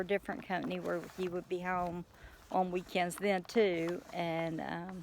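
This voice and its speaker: A woman speaks in an East Texas accent. Her pace is fairly slow. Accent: East Texas Southern US. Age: 50s. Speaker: farmer, retired truck driver. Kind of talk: casual vlog monologue.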